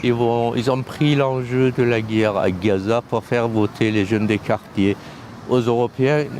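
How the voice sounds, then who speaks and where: A man's ordinary speaking voice at a medium pitch, fairly slow, with very even loudness and fairly even intonation. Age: 60s. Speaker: passerby, former political activist. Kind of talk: street interview.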